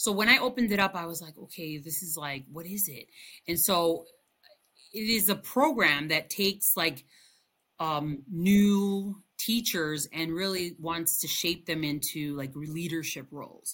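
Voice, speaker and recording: In a very clean recording with a silent background, a woman with a fairly low pitch and a bright, sharp tone speaks fairly slowly, showing ordinary pitch variation and big swings in loudness. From Chicago area, US. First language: Spanish. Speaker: bilingual elementary school teacher. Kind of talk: interview. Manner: hesitant, many fillers and repetitions.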